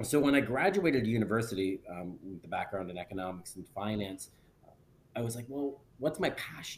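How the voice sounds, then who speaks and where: A man with a Canadian accent has an unremarkable speaking voice, medium in pitch, with lively intonation and a fairly quick pace. His loudness shifts in big swings. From northern Ontario, near Sudbury. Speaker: real estate broker and investor. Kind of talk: podcast interview.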